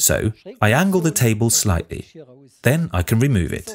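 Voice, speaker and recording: With light background noise behind him, a man speaks with vocal fry and very wide pitch swings. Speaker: product demonstrator. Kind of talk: tutorial. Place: studio.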